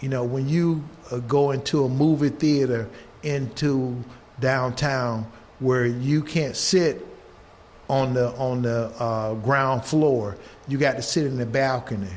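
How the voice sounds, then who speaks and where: Speaking at a fairly slow pace with fairly even intonation, a man with an American accent and a medium-pitched voice is heard with audible room echo. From US South. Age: 70s. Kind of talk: intergenerational conversation.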